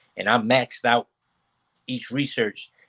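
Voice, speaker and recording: A man at a moderate pace with monotone, flat intonation. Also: dry, close sound with no echo. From US Northeast, North Philadelphia. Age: 20s. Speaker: chemistry professor. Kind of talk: casual interview. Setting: video call from home.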